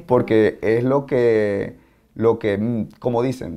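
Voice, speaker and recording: A man talks with ordinary pitch variation. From Venezuela, Maracaibo; Venezuela. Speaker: martial arts instructor. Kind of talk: interview; interview answer. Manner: halting. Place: office.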